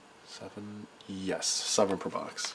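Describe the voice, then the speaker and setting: A man's voice over noticeable background noise. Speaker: trading card collector. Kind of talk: casual talk to camera.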